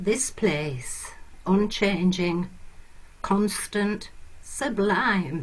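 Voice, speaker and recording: Speaking very slowly with long, frequent pauses, a woman has a medium pitch, a somewhat breathy quality and ordinary pitch variation. Audible room echo surrounds her voice. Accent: northern English. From northern England, Lancashire. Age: old. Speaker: performance poet. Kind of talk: casual talk to listeners; poetry reading.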